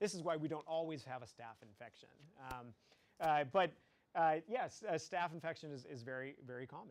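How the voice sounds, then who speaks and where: Delivered at a fairly quick pace, this is an ordinary speaking voice. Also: man. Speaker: biology teacher. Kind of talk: lecture. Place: classroom.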